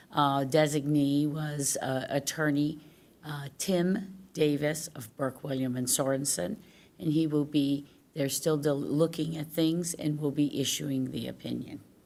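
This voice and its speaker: Over audible room echo, a woman with a very deep, low pitch speaks with fairly even intonation. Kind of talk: answering council question. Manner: halting.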